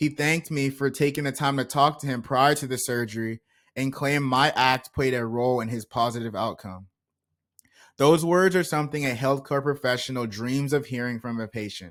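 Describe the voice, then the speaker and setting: A man with an American accent talks at a fairly quick pace and a medium pitch. The recording is very clean, with a silent background. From United States. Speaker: medical student and pharmacist. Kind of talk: reading aloud. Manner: monotone.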